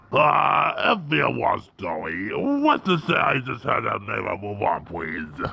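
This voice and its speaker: Using a put-on character voice, a man speaks at a fairly slow pace with hardly any pauses. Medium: audio drama. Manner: friendly, cheerful.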